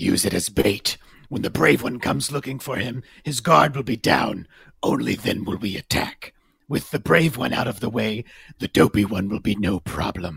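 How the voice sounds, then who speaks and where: This is a raspy, put-on character voice. The pace is moderate. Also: man, fairly low pitch for a man. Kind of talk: amateur script read-through. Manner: menacing, commanding.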